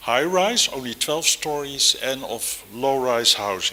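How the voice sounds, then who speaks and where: A man with a Dutch accent speaks with lively intonation over noticeable background noise. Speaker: architect and professor. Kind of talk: lecture. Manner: hesitant, many fillers.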